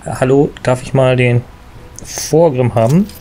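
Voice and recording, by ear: The voice is hoarse, with vocal fry and a slightly mellow tone. It moves at a fairly slow pace over faint background noise. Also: man.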